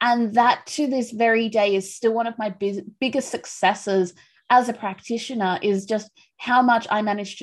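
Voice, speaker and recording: Fairly even intonation runs through this woman's fairly high pitch in a plain, everyday voice. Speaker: podcast host. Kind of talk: casual interview chat.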